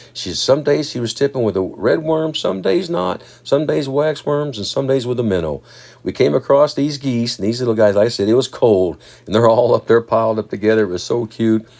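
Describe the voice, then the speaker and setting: Here is an unremarkable speaking voice from a man at medium pitch. He moves at a fairly quick pace with lively intonation. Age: 60s. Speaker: fishing video host. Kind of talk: casual fishing vlog narration. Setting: outdoors on a boat.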